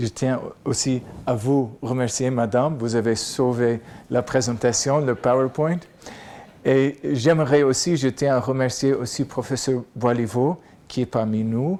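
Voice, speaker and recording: A man's very slow speech in an American accent, with medium pitch, a dark, mellow tone and fairly even intonation. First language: English (speaking French). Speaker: professor. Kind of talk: lecture.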